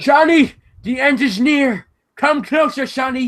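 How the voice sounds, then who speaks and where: A female-sounding, put-on character voice, pitched high. It moves along at a fairly slow pace. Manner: ominous, doom-laden.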